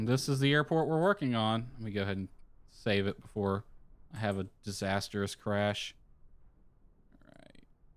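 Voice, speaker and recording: Speaking at a moderate pace with long, frequent pauses, a man with a fairly low pitch shows ordinary pitch variation and big swings in loudness. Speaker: flight sim streamer. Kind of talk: casual live stream commentary.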